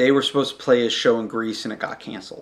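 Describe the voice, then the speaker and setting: A man is talking. His pace is fairly quick. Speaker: podcast host. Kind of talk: solo podcast monologue. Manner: loud.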